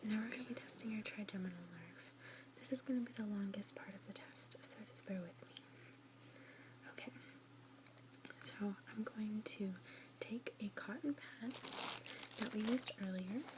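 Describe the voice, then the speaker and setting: A soft-spoken woman whispering at a moderate pace, with long, frequent pauses and noticeable background noise. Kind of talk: ASMR doctor roleplay. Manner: soft-spoken, whispering, relaxing.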